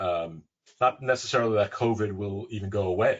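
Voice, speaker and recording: A man's somewhat breathy voice, fairly low in pitch. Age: 60s. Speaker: hospitality industry advisor. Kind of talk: webinar panel discussion.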